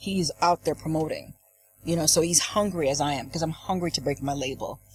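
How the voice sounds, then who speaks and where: Somewhat breathy and very deep, low in pitch, a woman talks at a fairly quick pace with fairly even intonation. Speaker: dancehall and hip-hop artist, label owner. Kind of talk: radio/TV interview. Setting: studio, live broadcast.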